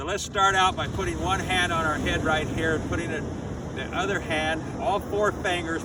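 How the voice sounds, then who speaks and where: Noticeable background noise and audible room echo accompany speech delivered at a moderate pace. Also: man. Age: 80s+. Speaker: qigong teacher. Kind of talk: tutorial. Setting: outdoors.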